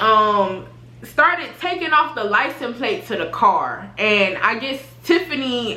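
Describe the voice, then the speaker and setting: A woman's raised, projected, high-pitched voice with very wide pitch swings over noticeable background noise. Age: 20s. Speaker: YouTuber. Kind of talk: casual storytime talk to camera.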